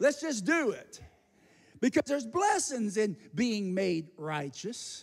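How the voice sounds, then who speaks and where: The delivery has an animated tone over a quiet background. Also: man. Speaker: pastor. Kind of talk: sermon, rising preacher's exhortation with call-and-response to the congregation. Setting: church. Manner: fast, run-on delivery piling up phrases without pause; animated and repetitive, prodding the crowd with 'say amen' and 'guys'. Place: church. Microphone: handheld.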